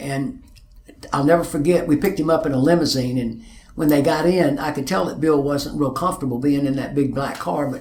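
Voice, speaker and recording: In an Arkansas accent, a man talks at a fairly quick pace and fairly high pitch with ordinary pitch variation, amid audible room echo and noticeable background noise. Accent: Arkansas Southern. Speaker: music manager and concert promoter. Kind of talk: interview testimony. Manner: halting, repeats words.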